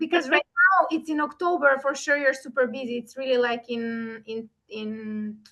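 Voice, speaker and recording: This woman's high-pitched, raised voice projects at a moderate pace with hardly any pauses. Her loudness swings widely while her pitch varies in an ordinary way. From North Macedonia. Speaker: event organizer and session host. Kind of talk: online interview conversation.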